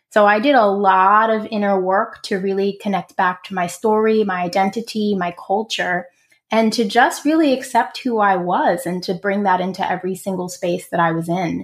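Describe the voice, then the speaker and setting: A woman with a New York accent talks at a moderate pace with hardly any pauses. Her pitch is medium, and its variation is ordinary. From Brooklyn, New York. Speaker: career coach. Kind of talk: interview.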